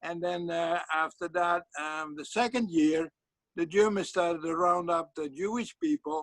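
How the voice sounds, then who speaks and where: At a moderate pace, a man with a high-pitched voice talks in a dry, close recording with no echo. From Netherlands (Friesland). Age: 80s+. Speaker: church deacon. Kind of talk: interview. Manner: halting, many fillers.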